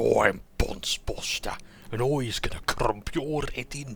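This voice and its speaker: Put-on character voice from a man in a Birmingham accent, medium in pitch and moderately paced, with clear background noise. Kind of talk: rough, colloquial. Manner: menacing, boastful, threatening.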